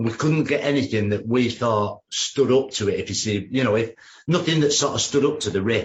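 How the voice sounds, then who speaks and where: A man with ordinary pitch variation speaks fairly quickly in a somewhat breathy voice. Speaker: rock musician. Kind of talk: interview.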